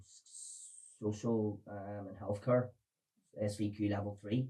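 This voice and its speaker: A man with a Belfast accent speaks at a fairly low pitch in a monotone, flat intonation. His tone is dark and mellow, and somewhat breathy. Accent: Belfast Northern Irish. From Northern Ireland, Belfast. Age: 40s. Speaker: recovered addict sharing his story. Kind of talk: podcast interview testimony.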